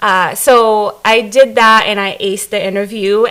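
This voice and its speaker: A woman's fairly high-pitched voice comes through over noticeable background noise. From Africa. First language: not English. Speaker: staff development director. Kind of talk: interview.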